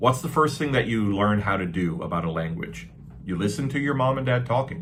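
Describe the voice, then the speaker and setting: Audible room echo surrounds a man speaking at a fairly quick pace with a Canadian accent. His medium pitch makes very wide swings. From Canada. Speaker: English teacher. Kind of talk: tutorial. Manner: casual, repetitive with fillers.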